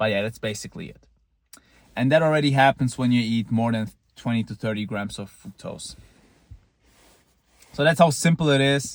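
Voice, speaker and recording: Pausing long and often, a man of medium pitch speaks at a moderate pace with ordinary pitch variation and big swings in loudness. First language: not English. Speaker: looksmaxing vlogger. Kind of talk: casual monologue. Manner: halting, with repeated false starts; casual, blunt.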